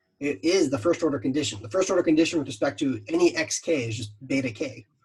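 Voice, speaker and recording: A man's fairly high, quick-paced voice with vocal fry and very wide pitch swings. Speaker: university lecturer. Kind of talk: lecture. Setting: video call. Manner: fast; casual.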